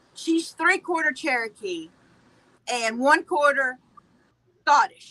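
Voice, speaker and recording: In an American accent, a woman with a high, bright, sharp voice projects loudly, speaking very slowly with long, frequent pauses and lively intonation. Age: 40s. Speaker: viewer guest. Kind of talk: casual chat.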